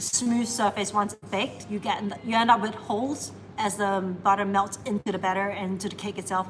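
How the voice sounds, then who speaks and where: A woman speaks at a fairly quick pace, her pitch medium. Her loudness swings widely. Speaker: baker and barista hosting a live bake-along. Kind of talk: live stream tutorial. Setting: cafe kitchen on a live stream. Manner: fast when nervous.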